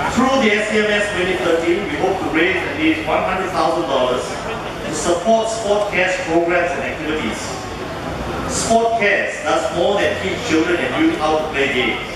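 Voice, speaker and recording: A man speaks at a fairly slow pace with ordinary pitch variation. Strong room echo and noticeable background noise surround his voice. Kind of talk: formal prepared speech. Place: hall.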